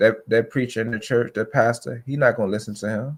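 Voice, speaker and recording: Fairly quick and with fairly even intonation, the delivery comes in an unremarkable speaking voice. The very clean recording has a silent background. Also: man. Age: 30s. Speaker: podcast guest. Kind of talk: casual chat.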